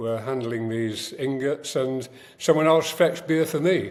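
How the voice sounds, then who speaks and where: A man speaks with a Yorkshire accent at a fairly slow pace. His pitch moves with ordinary variation. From northern England, Sheffield. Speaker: writer and producer. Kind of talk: podcast interview. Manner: halting, many fillers.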